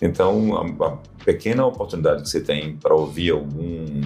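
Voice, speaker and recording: Background music behind a man's moderately paced speech. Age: 60s. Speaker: physician. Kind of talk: interview.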